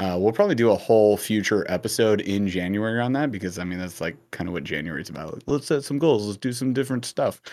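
Very fast pace and lively intonation from a man at a fairly low pitch. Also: very clean recording, silent background. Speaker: podcast host. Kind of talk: casual chat.

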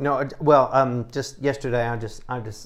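In a Southern US accent, a man speaks at a very slow pace in a medium pitch. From Texas. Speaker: testimony giver. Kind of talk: testimony.

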